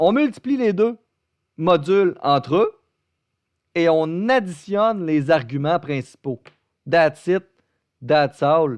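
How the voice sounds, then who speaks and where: Pausing long and often at a very slow pace, a man with a Beauce accent and a high pitch speaks in a dry, close sound with no echo over a quiet background. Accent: Québécois French, Beauce. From Quebec, Beauce region. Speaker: math teacher. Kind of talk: online lecture. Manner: talkative, casual and joking.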